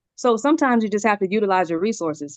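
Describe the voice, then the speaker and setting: An animated woman at a medium pitch, talking very fast with lively intonation, in a dry, close sound with no echo. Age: 40s. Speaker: crypto project member. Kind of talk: testimony.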